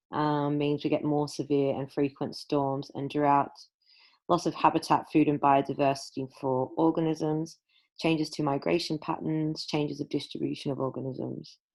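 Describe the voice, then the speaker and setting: With an Australian accent, a woman speaks at a moderate pace in a very deep, low voice and a monotone, flat delivery over a quiet background. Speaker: school science teacher. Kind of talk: recorded lesson.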